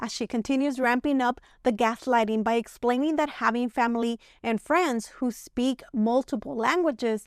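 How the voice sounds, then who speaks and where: In a very clean recording with a silent background, a woman with a Spanish accent talks at a moderate pace in a high-pitched voice, the sound dry and close with no echo. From Mexico. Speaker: commentary youtuber. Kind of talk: video commentary.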